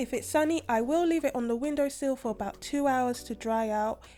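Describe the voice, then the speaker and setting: Lively intonation from a woman, with music in the background. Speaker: cooking channel host. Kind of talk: cooking tutorial. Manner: casual, chatty.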